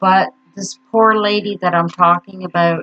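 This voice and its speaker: A woman is speaking. Her pitch is fairly low. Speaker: grief vlogger. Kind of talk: personal vlog monologue. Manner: halting, stuttering.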